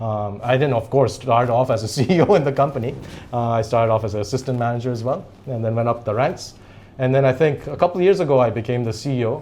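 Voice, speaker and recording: A man at a very fast pace, medium in pitch with ordinary pitch variation. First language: Japanese. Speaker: company CEO. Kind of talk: interview.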